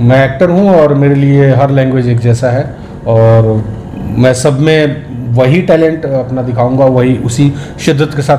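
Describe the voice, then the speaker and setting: A man with a Bihari accent speaks with fairly even intonation and very even loudness, amid noticeable background noise and audible room echo. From Bihar, India. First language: Bhojpuri (speaking Hindi). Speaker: film actor. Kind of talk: interview.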